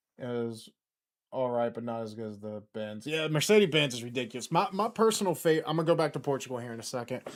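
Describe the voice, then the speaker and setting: A man with an American accent speaks very fast at a medium pitch, with lively intonation and big swings in loudness. The recording is very clean, with a silent background. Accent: southern US, slips out. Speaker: football YouTuber. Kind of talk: live watchalong commentary. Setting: livestream. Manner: casual, rambling with false starts.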